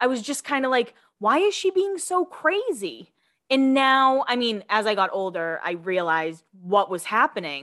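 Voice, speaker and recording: Talking at a moderate pace in an American accent, a woman has a bright, sharp tone and very wide pitch swings. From Massachusetts, US. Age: 30s. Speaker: podcast host, gossip commentator. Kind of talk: casual chat.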